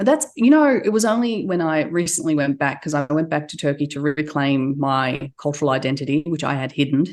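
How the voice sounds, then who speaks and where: Speaking with an Australian accent in a very deep, low pitch, a woman talks at a fairly quick pace with hardly any pauses. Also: ordinary pitch variation. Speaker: entrepreneur. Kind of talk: interview.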